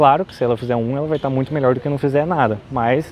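Music plays behind a man whose intonation stays fairly even, in a dry sound with no echo. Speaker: health vlogger. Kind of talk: casual explanatory vlog talk. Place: street. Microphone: lapel.

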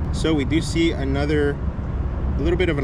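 There is loud background noise. A man talks at a fairly quick pace with ordinary pitch variation. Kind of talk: commentary. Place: street.

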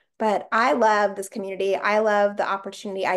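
There's a woman speaking over a quiet background. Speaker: podcast host. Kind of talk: podcast intro chat. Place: home room. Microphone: video call.

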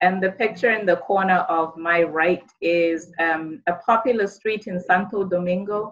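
A woman talks at a moderate pace with hardly any pauses and fairly even intonation. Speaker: university international education director. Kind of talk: webinar presentation. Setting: video call. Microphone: video call.

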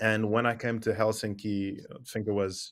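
The background is quiet. A man speaks fairly slowly in a fairly low pitch with monotone, flat intonation. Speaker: remote podcast guest. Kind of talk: interview answer. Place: office.

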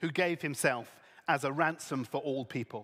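A man's fairly high voice at a very slow pace, with ordinary pitch variation, over a quiet background. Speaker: event host. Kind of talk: reading aloud. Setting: stage with audience. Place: stage. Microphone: headset.

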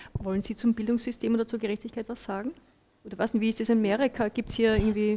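A woman's fairly high, dark and mellow voice at a very fast pace, monotone and flat, over light background noise. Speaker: moderator, journalist. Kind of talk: panel moderation. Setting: stage with audience. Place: hall. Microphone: handheld.

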